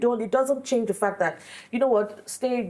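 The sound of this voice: The voice moves at a moderate pace with ordinary pitch variation. Its tone is slightly mellow. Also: woman, fairly high pitch for a woman.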